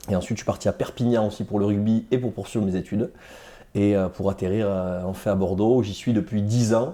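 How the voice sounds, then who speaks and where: The pace is fairly quick, with ordinary pitch variation. The tone is dark and mellow. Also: man, fairly low pitch for a man. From Hautes-Pyrénées, southwest France. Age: 30s. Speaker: rugby player. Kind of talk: interview. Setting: studio.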